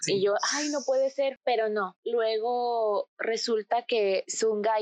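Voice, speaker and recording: The sound is dry and close, with no echo. A woman with a fairly high pitch talks at a very slow pace. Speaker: podcast guest, K-pop fan. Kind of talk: casual chat. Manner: animated.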